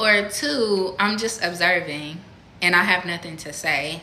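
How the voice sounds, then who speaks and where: Through audible room echo, a woman speaks at a fairly slow pace with a medium pitch and ordinary pitch variation. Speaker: spiritual content creator. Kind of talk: casual monologue. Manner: soft-spoken; halting.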